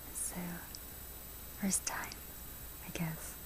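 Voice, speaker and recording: A soft-spoken woman with a medium pitch talks in a gentle tone. Her intonation is flat and monotone, with noticeable background noise behind her. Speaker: ASMR content creator. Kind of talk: ASMR close-up whisper talk about her relationship. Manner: soft-spoken, close-mic, gentle.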